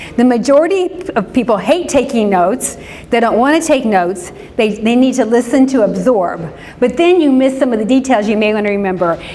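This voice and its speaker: With an American accent and lively intonation, a woman speaks high in pitch at a fairly quick pace, amid noticeable background noise and audible room echo. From US Midwest, Indianapolis. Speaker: pastor and social worker. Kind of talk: church class talk. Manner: fast.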